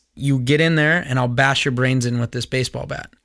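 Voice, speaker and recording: A man in a Californian accent speaks at a medium pitch and moderate pace with monotone, flat intonation. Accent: General American (Californian). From Southern California, US. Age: 30s. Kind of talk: solo commentary podcast.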